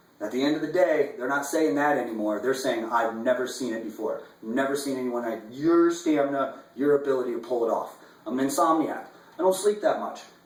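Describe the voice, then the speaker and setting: Amid noticeable background noise and audible room echo, a man with an American accent talks at a fairly quick pace in a fairly high pitch, his tone animated and his pitch variation ordinary. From US Midwest, Omaha, Nebraska. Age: 30s. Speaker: fly fishing guide. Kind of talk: audition video monologue. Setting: indoors, apartment.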